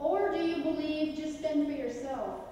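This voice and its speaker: Amid strong room echo and light background noise, a woman speaks at a fairly slow pace. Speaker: evangelism teacher; presenter. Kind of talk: interactive class-style sermon with audience questions, ending in prayer. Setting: church rally with audience. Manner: animated, conversational, humorous; earnest, exhorting, preacher in full flow. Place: church. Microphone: camera far.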